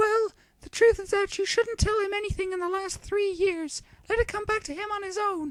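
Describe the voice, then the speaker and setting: A put-on character voice comes through, squeaky and extremely high in pitch. It moves at a moderate pace. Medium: read story. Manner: measured, reassuring.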